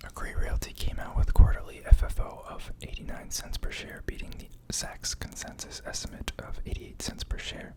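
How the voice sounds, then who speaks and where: A man whispers at a moderate pace with hardly any pauses, against noticeable background noise. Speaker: ASMR stock market video creator. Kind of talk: casual talk to camera, finance analysis. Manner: whispered, soft-spoken.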